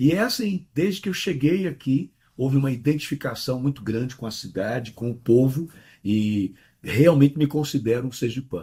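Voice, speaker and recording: In a very clean recording with a silent background, a man speaks at medium pitch and moderate pace, his dark, mellow tone somewhat breathy and his intonation lively. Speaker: pastor. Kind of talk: interview.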